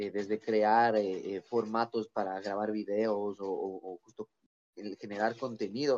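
In a dry, close sound with no echo, a man speaks at a fairly slow pace, his fairly low voice monotone and flat. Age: 20s. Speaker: musician and podcaster. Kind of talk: casual chat. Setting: video call.

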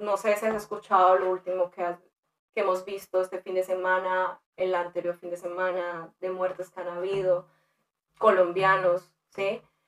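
A woman of medium pitch delivers her words in a monotone, flat intonation. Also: moderate pace. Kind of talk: interview.

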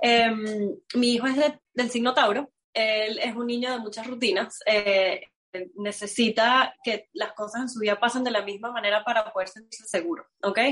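A woman's fairly high voice at a moderate pace. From Venezuela. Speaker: astrologer. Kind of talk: interview. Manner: animated.

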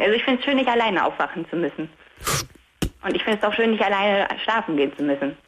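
Through noticeable background noise, a woman speaks at a very fast pace and a medium pitch, with very wide pitch swings and very even loudness. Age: 20s. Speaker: caller. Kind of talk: phone-in chat. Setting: phone call from bed.

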